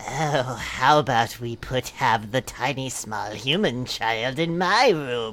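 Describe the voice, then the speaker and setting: A put-on character voice sits at a low-to-middle pitch and moves at a fairly slow pace. Light background noise is present. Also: hardly any pauses. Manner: creepy.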